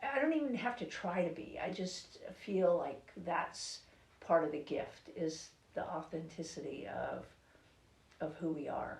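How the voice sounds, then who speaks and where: Noise is noticeable behind the speech, and the room echo can be heard. The delivery is fairly slow. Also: woman, fairly low pitch for a woman, lively intonation. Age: 60s. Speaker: author. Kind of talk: interview. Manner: halting.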